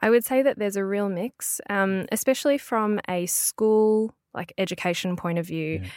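A woman talks at a moderate pace with an Australian accent and hardly any pauses. Her medium pitch moves with ordinary variation in a dry, close sound with no echo. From Melbourne, Australia. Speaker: language business owner and podcaster. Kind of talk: interview. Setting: studio.

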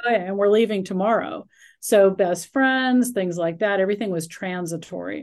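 A woman with a normal speaking voice, medium pitch and ordinary pitch variation, at a moderate pace, against a quiet background. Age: 60s. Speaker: speaker coach. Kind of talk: casual chat.

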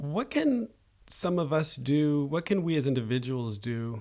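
An unremarkable speaking voice, a man at a moderate pace with ordinary pitch variation. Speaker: podcast host. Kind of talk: interview. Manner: formal.

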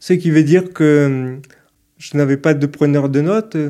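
On a very clean recording with a silent background, a man talks at a fairly slow pace in a fairly high pitch, his dark, mellow tone carrying fairly even intonation. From Toulouse, southern France. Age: 30s. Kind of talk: interview. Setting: hotel room. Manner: hesitant, many fillers.

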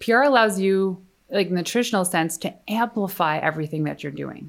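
An unremarkable speaking voice moves at a fairly quick pace with ordinary pitch variation. The recording is very clean with a silent background. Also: woman. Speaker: PR expert and entrepreneur. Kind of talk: casual interview chat.

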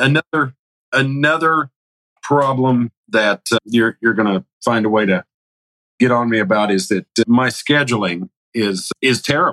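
A man with a bright, sharp tone speaks at medium pitch and a moderate pace, with ordinary pitch variation and very even loudness. Long, frequent pauses break up his speech, heard in a dry, close sound with no echo. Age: 40s. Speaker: masonry contractor. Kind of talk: coaching call.

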